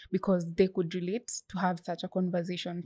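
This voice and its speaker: The recording is very clean, with a silent background and a dry, close sound that has no echo. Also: woman. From Kenya, Bomet County. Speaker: student author and menstrual health advocate. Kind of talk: interview.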